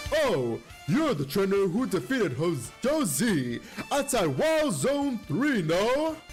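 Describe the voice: Over clear music in the background, a man does a strained, put-on character voice at a high pitch, speaking at a fairly slow pace with very wide pitch swings.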